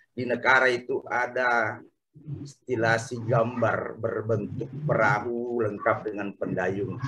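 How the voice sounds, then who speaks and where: A man's fairly even intonation and very slow pace come through over noticeable background noise. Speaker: participant; speaker. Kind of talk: online panel discussion. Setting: video call. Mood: thoughtful, explanatory. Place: home room. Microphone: earbuds.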